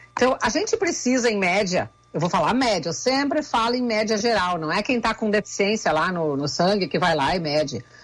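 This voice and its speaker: A woman with a fairly high pitch makes very wide pitch swings. Noticeable background noise runs under her voice. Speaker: nutritionist. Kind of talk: radio interview.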